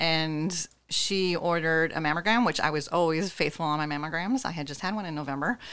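This woman has an ordinary speaking voice, fairly low in pitch with ordinary pitch variation. The recording is very clean, with a silent background. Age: 50s. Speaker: breast cancer survivor. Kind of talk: interview testimony.

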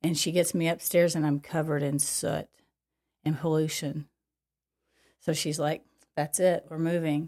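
In a very clean recording with a silent background, a woman speaks at a moderate pace in a very deep, low pitch, her dark, mellow tone held to a monotone, flat intonation broken by long, frequent pauses. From Kentucky, Paducah. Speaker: former professional boxer and gym owner. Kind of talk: casual interview chat.

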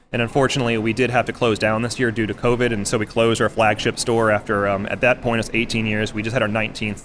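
A man with an American accent talks at a very fast pace and medium pitch, in monotone, flat intonation. Music plays in the background. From Texas. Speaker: restaurant chef. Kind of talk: interview. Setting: live outdoor food event.

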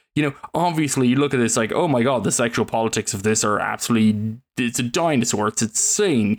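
Here a man has an ordinary speaking voice at a medium pitch, with ordinary pitch variation. He talks at a fairly quick pace with hardly any pauses. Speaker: podcast co-host. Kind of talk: casual chat.

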